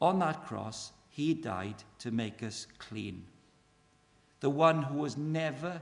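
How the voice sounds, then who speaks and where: Speaking at a very slow pace, a man with a Welsh accent uses lively intonation. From Wales. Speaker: evangelist speaker. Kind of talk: evangelistic talk. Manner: animated.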